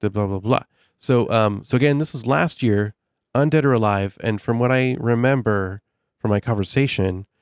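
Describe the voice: The pitch moves in an ordinary way through this plain reading aloud. Behind it, the setting is quiet.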